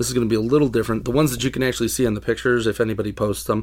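The recording is very clean, and the background is silent. A male speaker goes at a very fast pace. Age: 30s. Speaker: toy customizer and collector. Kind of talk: casual chat. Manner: halting.

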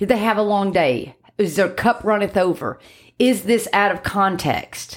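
Her medium-pitched voice carrying vocal fry, a woman speaks at a moderate pace. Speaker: dog trainer podcast host. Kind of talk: casual chat. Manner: loud.

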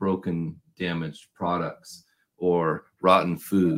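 This voice, with a West Coast US accent, comes through on a very clean recording against a silent background. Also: man. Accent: General American, West Coast. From US Pacific Northwest, Portland, Oregon. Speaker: packaging consultant and podcast host. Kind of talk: casual interview.

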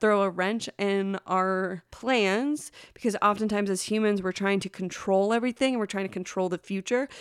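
In a very clean recording with a silent background and a dry, close sound with no echo, a woman with a normal speaking voice talks at a medium pitch and moderate pace, with fairly even intonation and hardly any pauses. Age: 30s. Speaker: advice podcast host. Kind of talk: solo podcast monologue. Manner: gentle, warm.

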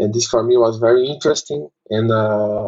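This man has a Portuguese accent, a medium pitch, and a fairly slow pace. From Brazil. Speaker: maxillofacial surgeon and mentor. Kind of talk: interview.

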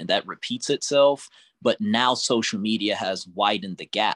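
A man with an unremarkable speaking voice talks at a moderate pace with ordinary pitch variation. The recording is very clean, dry and close, with a silent background and no echo. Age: 30s. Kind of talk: casual group discussion.

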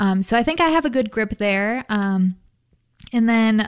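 A woman speaks at a moderate pace with a fairly high pitch and ordinary pitch variation over a quiet background. She has an unremarkable speaking voice. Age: 20s. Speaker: grad student and panelist. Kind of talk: casual discussion. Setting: studio.

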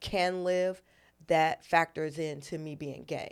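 The recording is very clean, with a silent background. A woman with a normal speaking voice talks at a fairly slow pace, her pitch fairly low and her intonation fairly even. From Los Angeles and New York. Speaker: comedian and military veteran. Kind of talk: casual chat.

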